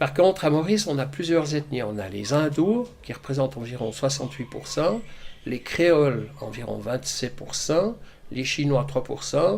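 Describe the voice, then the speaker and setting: Somewhat breathy and fairly high for a man, his voice moves at a fairly slow pace with lively intonation. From Switzerland, Gruyère (Fribourg). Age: 60s. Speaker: retiree. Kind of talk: interview.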